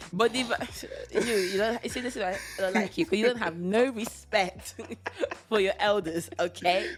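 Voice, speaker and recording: Long, frequent pauses break up speech at a moderate pace with ordinary pitch variation, and noticeable background noise runs underneath. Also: woman, medium pitch for a woman. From Italy. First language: Italian. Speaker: podcast co-host. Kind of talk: casual chat.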